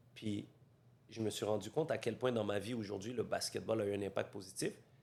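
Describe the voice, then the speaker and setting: A man with a plain, everyday voice speaks at a fairly quick pace, his pitch fairly low and his intonation fairly even. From Montreal, Quebec (Saint-Léonard). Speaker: real estate coach, podcast host. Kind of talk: interview conversation.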